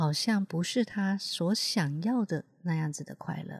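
A woman with a fairly low pitch speaks at a very slow pace in a calm, gentle tone that is somewhat breathy. The sound is dry and close with no echo, and her pitch varies an ordinary amount. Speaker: healer and podcast host. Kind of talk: reflective monologue. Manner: calm and gentle.

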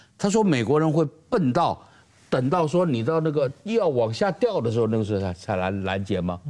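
Moving at a moderate pace, a man with a medium pitch and a dark, mellow tone lets his pitch swing very widely. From Taiwan. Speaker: political commentator. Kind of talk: panel discussion.

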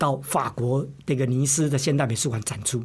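A somewhat breathy man's voice of medium pitch, fairly even in intonation and moderate in pace, on a very clean recording with a silent background. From Taiwan, Lukang (Changhua). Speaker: art professor and curator. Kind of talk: interview.

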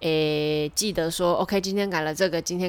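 A woman speaks with fairly low pitch. Her pitch varies in an ordinary way. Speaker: podcast host and ballet dancer. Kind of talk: casual monologue.

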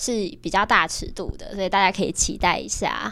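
Delivered at a moderate pace, this is an ordinary speaking voice. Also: woman. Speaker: university student, exhibition lead organizer. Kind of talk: casual chat.

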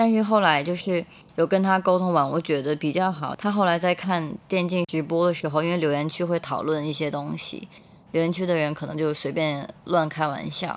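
The intonation stays fairly even. The pace is fairly quick. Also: woman. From Beijing, China. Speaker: graduate student. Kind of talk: first-person storytelling.

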